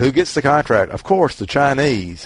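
A man in a Southern US accent at a fairly quick pace. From Mississippi. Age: old. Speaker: book group member. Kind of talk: book club discussion. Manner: halting.

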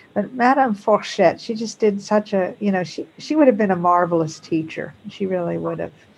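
Noticeable noise fills the background. Through it, a woman talks with ordinary variation in pitch. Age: 60s. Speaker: schoolteacher. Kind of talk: casual chat. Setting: video call.

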